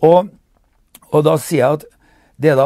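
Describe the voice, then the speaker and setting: A man with fairly high pitch and a dark, mellow tone, in a dry sound with no echo and a quiet background. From Norway. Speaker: political commentator. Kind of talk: monologue commentary. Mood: critical, earnest. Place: home room.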